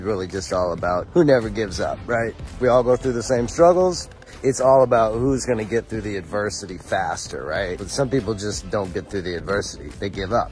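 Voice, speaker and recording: Faint music plays behind a man whose fairly low pitch and fairly quick pace come through in a dry sound with no echo. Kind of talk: casual motivational vlog chat. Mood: reflective, motivational. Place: open country. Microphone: phone near.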